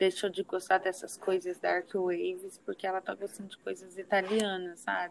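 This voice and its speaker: A woman speaks with monotone, flat intonation at a medium pitch. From Minas Gerais, Uberaba. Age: 20s. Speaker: podcast host. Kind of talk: casual chat.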